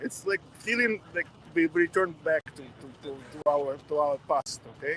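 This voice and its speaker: Speaking fairly slowly with a strong Russian accent, a man is recorded with a dry, close sound with no echo, though background noise is noticeable. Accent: thick Russian. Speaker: protester interviewed on the street. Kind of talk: street interview. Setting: outdoors at a street protest.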